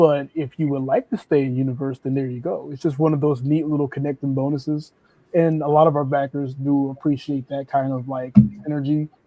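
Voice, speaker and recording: Over music in the background, a man speaks at a fairly quick pace with monotone, flat intonation. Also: fairly high pitch for a man. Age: 30s. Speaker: indie comic book creator. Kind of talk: casual chat.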